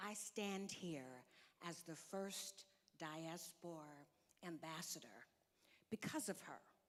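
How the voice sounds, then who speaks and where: With an American accent and a fairly low pitch, a woman talks at a very slow pace with ordinary pitch variation and long, frequent pauses. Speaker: diplomat. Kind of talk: conference speech. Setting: stage with audience.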